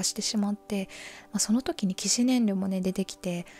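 A woman speaks in a calm, dark and mellow tone at medium pitch, somewhat breathy. The sound is dry and close, with no echo. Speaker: mental health radio host. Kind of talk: sleep-inducing confessional radio talk. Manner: soft, calm, conversational.

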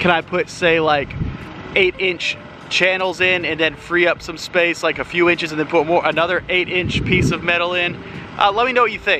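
A high-pitched male voice with fairly even intonation at a moderate pace, dry with no echo, over noticeable background noise. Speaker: renovation vlogger. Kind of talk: casual vlog chat. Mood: relaxed, friendly. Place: garden. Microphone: phone near.

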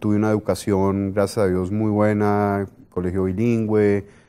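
A man talks at a fairly slow pace. His voice is fairly low in pitch, with a dark, mellow tone. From Colombia, Bogotá. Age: 40s. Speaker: business executive; guest. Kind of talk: interview; interview answer. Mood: relaxed, reflective. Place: studio. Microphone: lapel.

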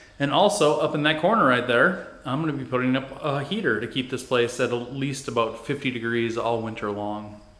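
Amid audible room echo, a man speaks at a moderate pace with ordinary pitch variation. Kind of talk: casual vlog tour narration. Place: garage. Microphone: phone near.

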